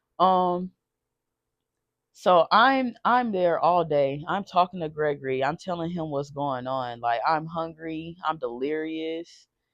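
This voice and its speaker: Shaky and very deep, a woman's low-pitched voice moves at a very slow pace with lively intonation. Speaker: storytime vlogger. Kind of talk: personal testimony. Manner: shaky voice; halting, repeats words.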